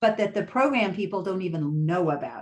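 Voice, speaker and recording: A woman with an unremarkable speaking voice, medium pitch and lively intonation. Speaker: policy researcher. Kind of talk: panel presentation. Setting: webinar.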